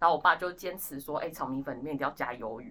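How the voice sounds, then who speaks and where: With an animated tone, a woman talks in a very deep, low pitch. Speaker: guest staff member of the organization. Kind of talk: casual chat.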